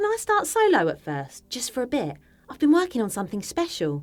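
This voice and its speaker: A woman puts on a croaky character voice, pitched high, at a fairly quick pace. Her loudness swings widely. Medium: read story.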